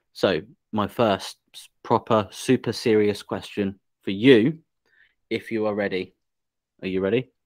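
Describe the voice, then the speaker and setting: With an English accent, a man speaks at a fairly slow pace and fairly low pitch, his intonation fairly even, with long, frequent pauses and big swings in loudness, in a dry, close sound with no echo. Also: very clean recording, silent background. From England. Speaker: podcast host. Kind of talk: casual interview.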